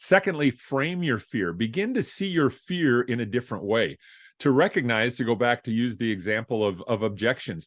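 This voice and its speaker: In a quiet background, a man speaks at a moderate pace with very wide pitch swings. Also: medium pitch for a man. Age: 60s. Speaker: motivational speaker and author. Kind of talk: podcast interview. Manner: halting, with repetitions.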